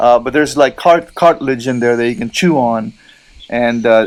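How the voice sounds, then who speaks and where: Amid noticeable background noise, a man with a Filipino accent speaks in a relaxed tone at a moderate pace, his pitch varying in an ordinary way. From Philippines. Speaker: cigar and lifestyle vlogger. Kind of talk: casual vlog chat. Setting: outdoors in a gazebo. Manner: relaxed, halting with fillers.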